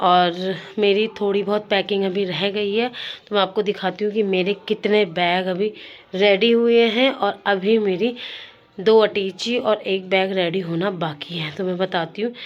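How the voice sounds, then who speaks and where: A woman at a medium pitch with fairly even intonation and a very slow pace. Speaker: vlogger. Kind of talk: casual vlog talk. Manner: casual.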